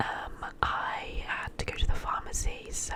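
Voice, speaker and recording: A woman whispers at a very slow pace. Background noise is noticeable throughout. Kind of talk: whispered ASMR vlog voiceover. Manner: whispered.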